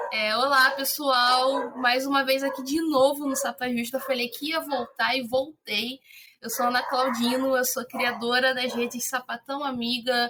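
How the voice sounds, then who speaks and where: A woman's high-pitched voice at a fairly slow pace, monotone and flat in intonation. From Rio de Janeiro, Brazil. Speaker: content creator, publicist. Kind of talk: casual podcast conversation.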